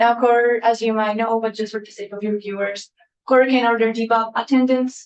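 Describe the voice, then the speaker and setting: Here a woman speaks with a Colombian accent. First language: Spanish. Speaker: testifying witness, equity office staff. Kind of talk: committee testimony. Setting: legislative committee hearing.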